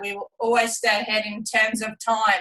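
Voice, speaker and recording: In a flat monotone, a woman speaks fairly slowly at a fairly high pitch. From Australia. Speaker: retired Olympic athlete. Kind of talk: testimony on a team business call.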